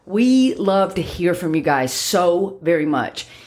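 Loud and at a medium pitch, a woman speaks. Her pitch swings very widely. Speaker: dog trainer podcast host. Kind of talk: casual chat.

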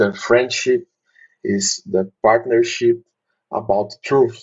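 Speaking very slowly with a Portuguese accent, a man uses a medium pitch, a somewhat breathy voice and fairly even intonation. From Brazil. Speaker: maxillofacial surgeon and mentor. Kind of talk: interview.

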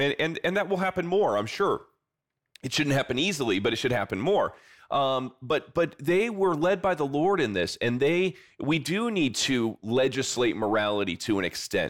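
A man with a Midwestern American accent and a fairly high pitch, very wide pitch swings, very even loudness, and a moderate pace, in a very clean recording with a silent background. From US Midwest, South Bend, Indiana. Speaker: pastor and author. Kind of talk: interview.

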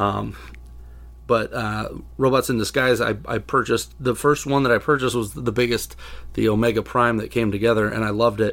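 A man with vocal fry speaks in a flat monotone at a medium pitch and a fairly quick pace, on a very clean recording with a silent background. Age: 30s. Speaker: toy customizer and collector. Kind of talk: casual chat. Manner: halting.

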